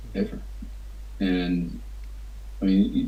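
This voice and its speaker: A man's voice with vocal fry and an Appalachian accent, in audible room echo. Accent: Appalachian American. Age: 60s. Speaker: writer. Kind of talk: interview. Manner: halting.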